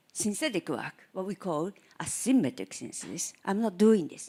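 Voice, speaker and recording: Using very wide pitch swings, a woman with a Japanese accent talks at a medium pitch and a fairly slow pace. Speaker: chemistry professor. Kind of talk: lecture.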